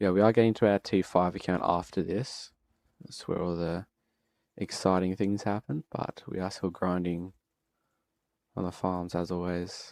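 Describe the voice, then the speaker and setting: A man with an Australian accent speaks in a very deep, low pitch, monotone and flat, with a relaxed tone at a moderate pace, leaving long, frequent pauses. The recording is very clean with a silent background and a dry, close sound with no echo. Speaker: gaming streamer. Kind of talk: live gameplay commentary. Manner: casual, relaxed.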